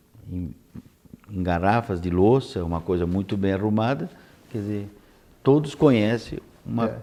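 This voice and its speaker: The voice has a dark, mellow tone, moving at a fairly slow pace with long, frequent pauses. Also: man. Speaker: TV interviewer. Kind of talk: TV interview questions.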